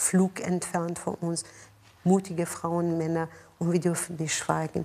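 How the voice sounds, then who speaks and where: A woman with a Persian accent. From Iran, Tehran. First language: Persian (speaking German). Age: 50s. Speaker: mayor and politician. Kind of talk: interview. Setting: office.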